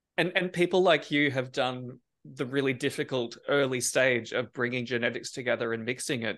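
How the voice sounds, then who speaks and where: A man with an unremarkable speaking voice talks at a moderate pace and a medium pitch. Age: 40s. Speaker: podcast host and plant breeder. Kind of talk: casual interview.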